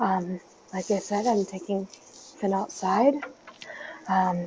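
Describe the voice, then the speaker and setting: Soft-spoken and fairly slow, a woman with a medium pitch talks over noticeable background noise. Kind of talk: casual vlog update. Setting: outdoors at night. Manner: halting.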